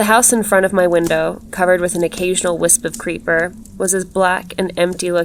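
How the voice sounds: What we hear is a natural reading voice.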